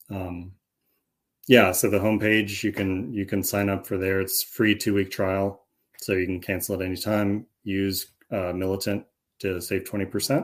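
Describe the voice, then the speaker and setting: A man's fairly low voice, flat and monotone, at a moderate pace on a very clean recording with a silent background. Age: 40s. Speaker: Greek language teacher. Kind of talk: casual interview.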